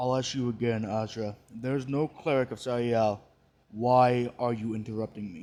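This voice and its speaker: Using a put-on character voice, a man keeps to a medium pitch and a moderate pace. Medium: read story. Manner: cold, imperious.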